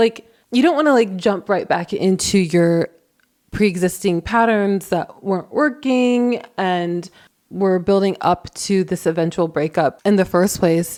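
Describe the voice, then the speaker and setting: A woman speaks at a fairly slow pace in a medium pitch, with ordinary pitch variation and very even loudness, in a plain, everyday voice on a very clean recording with a silent background. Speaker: relationship advice youtuber. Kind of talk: casual vlog monologue.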